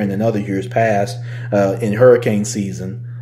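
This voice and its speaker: Over music in the background and audible room echo, a man talks at a moderate pace with a fairly low pitch and fairly even intonation. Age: 30s. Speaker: podcast host. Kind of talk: casual solo podcast monologue, also streamed live. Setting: working from home, streamed on Facebook Live.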